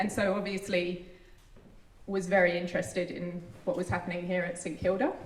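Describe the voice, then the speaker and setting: Speaking with a British accent, a woman uses medium pitch, a moderate pace and fairly even intonation. Audible room echo and noticeable background noise are present. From UK. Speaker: university ecologist. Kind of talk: public speech.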